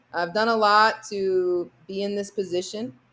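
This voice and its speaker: Very slowly, a woman with an American accent speaks at a medium pitch. The recording is very clean, with a silent background. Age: young. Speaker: basketball player. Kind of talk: podcast interview.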